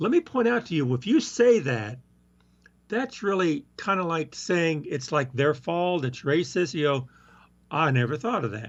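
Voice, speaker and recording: Speaking with a Southern US accent, a man uses a fairly high pitch with very wide swings at a moderate pace. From US South. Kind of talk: casual chat.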